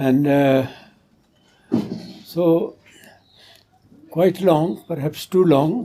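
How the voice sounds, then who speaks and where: A man's dark, mellow, fairly high-pitched voice with ordinary pitch variation, at a very slow pace with long, frequent pauses. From West Punjab. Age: 80s+. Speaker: social activist and educator. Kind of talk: interview answer.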